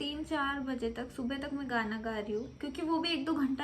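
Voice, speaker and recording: A woman speaks in a high pitch at a moderate pace with ordinary pitch variation. Audible room echo surrounds her voice. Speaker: vlogger. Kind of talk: casual vlog storytime.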